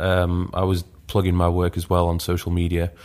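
In a Yorkshire accent, a man speaks at a moderate pace with a very deep, low pitch and monotone, flat intonation. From northern England, Leeds. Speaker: fitness YouTuber and coach. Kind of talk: podcast interview.

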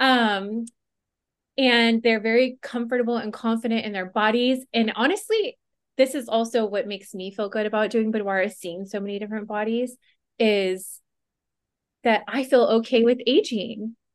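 A woman has an ordinary speaking voice with a fairly high pitch and fairly even intonation. She talks at a moderate pace against a quiet background. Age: 40s. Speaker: boudoir photographer. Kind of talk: casual chat.

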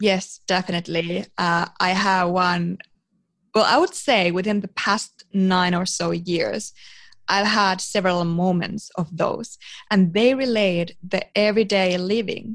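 A woman speaks with a Finnish accent. Her intonation stays fairly even. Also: medium pitch for a woman. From eastern Finland, rural village. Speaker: psychology student and biohacking professional. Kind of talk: interview.

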